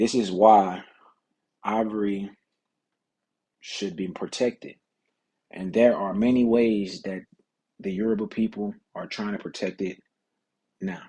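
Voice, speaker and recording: A man speaks at a fairly slow pace in a fairly low, dark and mellow voice, his intonation monotone and flat, with long, frequent pauses. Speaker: student presenter. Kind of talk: class presentation. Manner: halting, repeating words.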